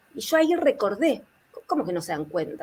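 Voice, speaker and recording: The delivery moves at a fairly quick pace. Pitch swings are very wide. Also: woman. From Argentina. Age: 60s. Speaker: therapist and author. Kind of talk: panel interview.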